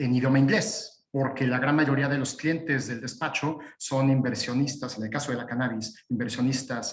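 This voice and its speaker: A man talks at a fairly quick pace in a medium-pitched voice with fairly even intonation. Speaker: lawyer. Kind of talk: webinar presentation. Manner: halting, many fillers.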